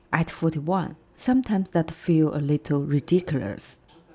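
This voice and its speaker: A woman with a Chinese accent, very deep and low in pitch, dark and mellow in tone, calm, with lively intonation at a moderate pace. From China. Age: 40s. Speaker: vlogger. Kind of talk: personal vlog narration. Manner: calm, reflective.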